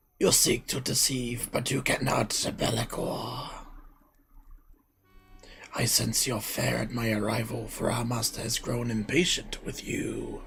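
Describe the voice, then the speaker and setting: A put-on character voice comes through raspy and monotone, its intonation flat. It moves at a fairly slow pace with faint music in the background. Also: man, medium pitch for a man. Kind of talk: theatrical, archaic. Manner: dramatic, imposing.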